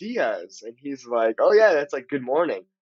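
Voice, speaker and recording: A man talks with a Californian accent. His pace is fairly quick. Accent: Californian American English. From Southern California. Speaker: language-learning content creator. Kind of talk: interview conversation. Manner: animated.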